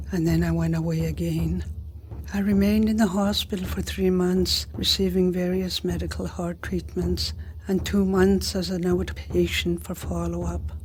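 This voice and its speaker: Noticeable background noise fills the recording. A woman talks through it at a moderate pace. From northern Manitoba, Cree First Nation. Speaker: storyteller. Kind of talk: scripted narration.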